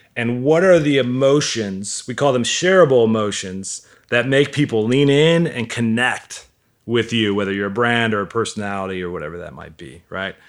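A man's ordinary speaking voice at medium pitch, moderate pace, lively intonation and big swings in loudness, on a very clean recording with a silent background. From US Midwest, Milwaukee. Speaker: digital marketing entrepreneur, author. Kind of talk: casual interview chat.

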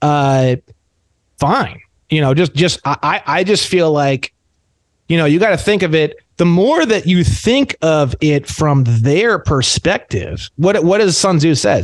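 An unremarkable speaking voice from a man, fairly high and fairly slow, with lively intonation, very even loudness and a dry, close sound with no echo. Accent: American. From Indiana, US Midwest. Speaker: sovereign citizen activist. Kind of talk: casual roundtable chat.

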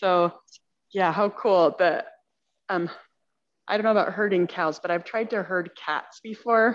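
A woman speaks at a fairly slow pace with long, frequent pauses, her medium pitch moving in an ordinary way over a quiet background. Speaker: class participant. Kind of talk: scripture reading and discussion.

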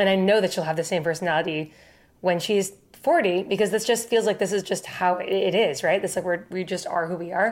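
A woman with an American accent at a fairly quick pace, medium pitch and fairly even intonation, on a very clean recording with a silent background. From US Northeast (Boston area). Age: 30s. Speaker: folk singer-songwriter. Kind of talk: casual interview. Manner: fast talker.

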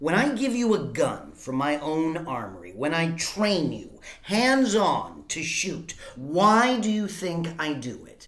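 A put-on character voice that sounds female, pitched in the middle range. The pace is fairly slow. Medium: audio drama. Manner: cold, measured, mocking.

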